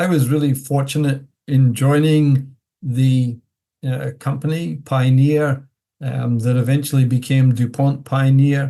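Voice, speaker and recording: A man's somewhat breathy voice in a dark, mellow tone, medium in pitch, monotone and flat, at a fairly slow pace. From Scotland. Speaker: plant breeding professor. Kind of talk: interview.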